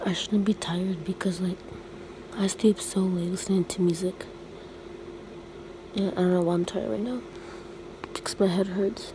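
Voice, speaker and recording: A woman's voice at a moderate pace with long, frequent pauses, ordinary pitch variation, dry sound with no echo and noticeable background noise. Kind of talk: casual vlog chat. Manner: sleepy, low-energy late-night voice. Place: home room. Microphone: phone near.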